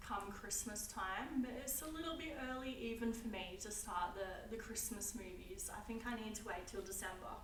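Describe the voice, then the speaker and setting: A woman with an Australian accent, fairly high pitch, ordinary pitch variation and a moderate pace, amid noticeable background noise and audible room echo. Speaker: YouTuber. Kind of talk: casual vlog talk. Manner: casual, hesitant with fillers.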